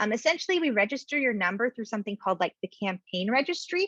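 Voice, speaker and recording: This is a woman speaking. Her pace is very fast. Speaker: product specialist presenting a webinar. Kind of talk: webinar Q&A. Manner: animated.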